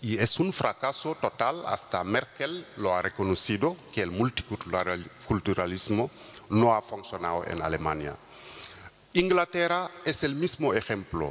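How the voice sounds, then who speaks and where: Over noticeable background noise, a man with a Wolof accent talks at a fairly slow pace and a fairly low pitch, with very wide pitch swings. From Senegal. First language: Wolof (speaking Spanish). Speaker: intercultural mediator. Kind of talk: conference talk. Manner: halting, many fillers.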